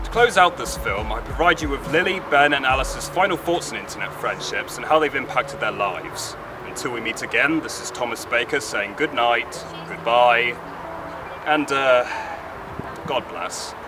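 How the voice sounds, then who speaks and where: A man with a fairly high pitch and lively intonation speaks at a moderate pace amid noticeable background noise. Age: young. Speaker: student filmmaker. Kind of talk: documentary narration. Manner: formal.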